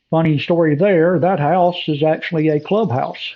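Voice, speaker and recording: Here a man talks in a Southern US accent at a fairly high pitch. His pace is moderate. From US South. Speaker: golf course designer. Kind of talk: screen-recorded walkthrough tutorial. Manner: casual, hesitant with fillers.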